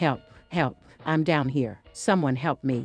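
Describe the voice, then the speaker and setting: A put-on character voice at a low-to-middle pitch moves at a fairly slow pace. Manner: calling out for help.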